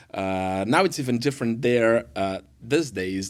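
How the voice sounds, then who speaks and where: Recorded very cleanly against a silent background, a man with a Brazilian accent speaks at a medium pitch with ordinary pitch variation. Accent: Brazilian Portuguese accent, noticeable. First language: Portuguese. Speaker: worship pastor. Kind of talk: podcast interview. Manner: halting, many fillers.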